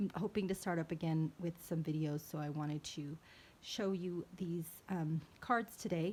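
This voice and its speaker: Somewhat breathy, a woman speaks at a fairly low pitch with fairly even intonation. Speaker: card maker, crafter. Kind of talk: show-and-tell tutorial. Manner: halting, stumbling; hesitant, many fillers.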